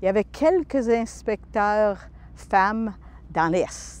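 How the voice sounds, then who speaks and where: Her pace is very slow. The voice belongs to a woman. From northern Alberta, Franco-Albertan. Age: 60s. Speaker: retired pilot and aviation inspector. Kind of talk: interview testimony. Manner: hesitant, many fillers.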